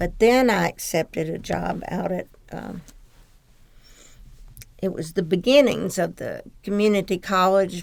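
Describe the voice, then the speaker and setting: Speaking in a Southern US accent, a woman goes at a fairly slow pace with vocal fry, big swings in loudness and long, frequent pauses. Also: medium pitch for a woman, ordinary pitch variation. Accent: Southern American. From Blytheville, Arkansas, USA. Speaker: military spouse, former teacher. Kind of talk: oral history interview answer.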